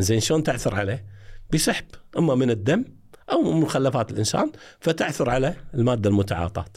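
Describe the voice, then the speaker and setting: A man's medium-pitched, somewhat breathy voice with lively intonation, a moderate pace and very even loudness. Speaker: retired forensic evidence expert. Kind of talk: interview.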